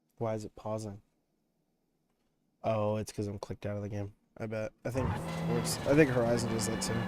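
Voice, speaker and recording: A man's fairly low voice at a fairly quick pace, with fairly even intonation, long, frequent pauses, and music in the background. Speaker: gaming streamer. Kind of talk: live stream gameplay commentary. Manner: casual, swearing-laden chatter.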